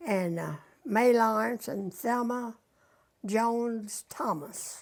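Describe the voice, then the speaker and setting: A woman with a western Kentucky accent speaks at a very slow pace, her fairly high pitch moving with ordinary variation. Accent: western Kentucky Southern US. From Kentucky, Lynn Grove area (western Kentucky). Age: 90s. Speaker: elderly interviewee recalling local history. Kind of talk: oral history interview.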